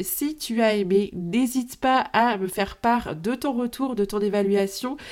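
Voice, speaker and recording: Pitched fairly high, the woman's voice shows ordinary pitch variation. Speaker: podcast host. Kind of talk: solo podcast monologue. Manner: casual, direct address to listener.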